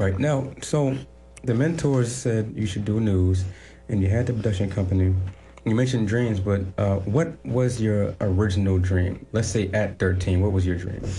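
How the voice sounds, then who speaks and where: A man's fairly low, dark, mellow voice, somewhat breathy, at a moderate pace with ordinary pitch variation and very even loudness. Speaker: radio host. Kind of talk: casual interview chat. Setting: studio with live video.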